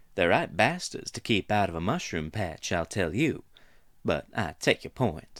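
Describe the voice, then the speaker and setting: Drawling in a put-on character voice, a man moves at a moderate pace with very wide pitch swings. The recording is very clean, with a silent background. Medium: read story.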